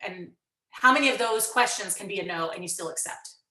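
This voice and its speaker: In a room with audible echo, a woman talks at a fairly quick pace with a fairly high pitch, an animated tone and ordinary pitch variation. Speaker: music educator presenting at a conference. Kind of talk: conference workshop presentation. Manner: fast.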